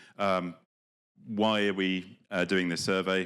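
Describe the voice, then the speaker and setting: A man is speaking. He has a British accent. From Britain. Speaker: development programme official. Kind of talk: conference speech. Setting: conference with live audience. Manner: hesitant, many fillers.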